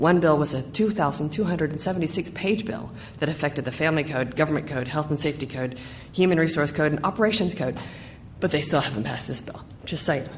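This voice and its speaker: Very fast pace, noticeable background noise, audible room echo and ordinary pitch variation. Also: woman, very deep, low pitch for a woman. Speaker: school district official. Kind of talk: board meeting report. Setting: school board meeting.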